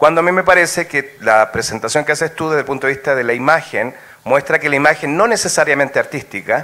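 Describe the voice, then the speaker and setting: A fairly high-pitched man at a very fast pace, with ordinary pitch variation. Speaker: audience member asking a question. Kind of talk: academic Q&A question. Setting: auditorium with audience.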